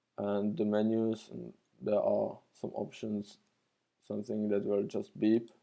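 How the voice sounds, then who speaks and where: A man with a non-native accent and a dark, mellow tone. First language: not English. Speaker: retro computer hobbyist and tutorial maker. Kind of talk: tutorial. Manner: halting, many fillers.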